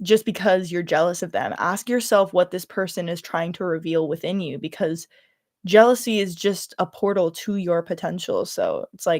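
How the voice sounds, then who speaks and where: Intonation stays fairly even on a very clean recording with a silent background. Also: woman, dry, close sound with no echo. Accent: slight Californian. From California. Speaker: YouTuber livestreaming. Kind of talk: casual livestream chat.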